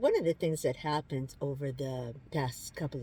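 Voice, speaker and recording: A somewhat breathy woman's voice at a moderate pace, dark and mellow in tone. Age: 60s. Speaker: lifestyle vlogger. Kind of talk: casual vlog update. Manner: halting, with many fillers.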